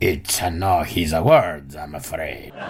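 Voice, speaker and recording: Through clear background noise, a man puts on a character voice with a very deep, low pitch, speaking at a fairly slow pace. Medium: solo performance.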